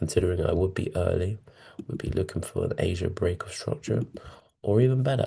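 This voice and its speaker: This man has a fairly low pitch and a dark, mellow tone that is somewhat breathy. He talks at a moderate pace with ordinary pitch variation. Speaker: forex trading educator. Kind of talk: trading tutorial. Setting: hotel room. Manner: quiet, hushed.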